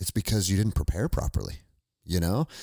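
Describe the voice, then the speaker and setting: In a very clean recording with a silent background and a dry, close sound with no echo, a man with an American accent speaks at a very deep, low pitch, showing vocal fry and very wide pitch swings. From US. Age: 40s. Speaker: military veteran and former police officer. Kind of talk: casual interview conversation. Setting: in person at his house.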